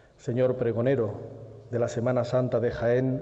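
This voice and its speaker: A man speaks in a solemn tone. Noticeable background noise runs behind him. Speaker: presenter of the herald. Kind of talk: formal speech introducing the herald, solemn oratory. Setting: stage with audience in theatre. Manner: formal, solemn.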